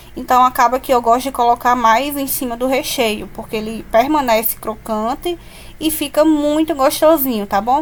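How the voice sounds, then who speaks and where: Against noticeable background noise, a woman speaks at a high pitch and moderate pace with ordinary pitch variation. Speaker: cake decorator. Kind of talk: tutorial.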